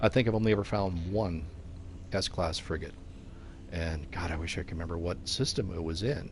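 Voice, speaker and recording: A man speaks at a moderate pace in a very deep, low voice, somewhat breathy, with ordinary pitch variation, long and frequent pauses, and audible room echo. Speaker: video game streamer. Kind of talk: live gameplay commentary. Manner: constant chatter. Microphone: headphones with mic, new.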